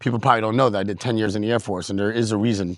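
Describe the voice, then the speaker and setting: A man with a New York accent, fairly low-pitched, animated in tone, in a dry, close sound with no echo against a quiet background. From US Northeast, New York City. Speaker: working DJ and YouTuber. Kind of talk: casual vlog rant.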